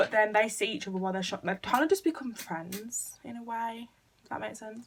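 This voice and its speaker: With an English accent, a woman speaks at a fairly quick pace and a fairly high pitch. Her loudness swings widely over noticeable background noise. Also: ordinary pitch variation. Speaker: YouTuber. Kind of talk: casual chat. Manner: fast.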